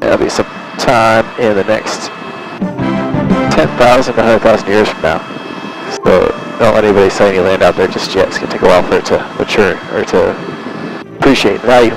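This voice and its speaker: Over music in the background, a man talks at a fairly quick pace in a dry sound with no echo. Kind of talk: tour guide commentary. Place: plane.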